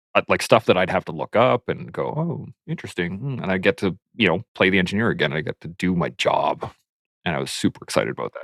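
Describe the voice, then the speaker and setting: Talking at a very fast pace, a man with a slight southern Alberta accent is heard in a dry, close sound with no echo. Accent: slight southern Alberta twang. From Canada, southern Alberta. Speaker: army veteran. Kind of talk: casual chat.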